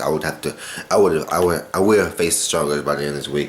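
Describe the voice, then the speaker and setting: Against noticeable background noise and audible room echo, a man speaks with ordinary pitch variation. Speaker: vlogger. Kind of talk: personal video diary. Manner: fast; halting, many repetitions.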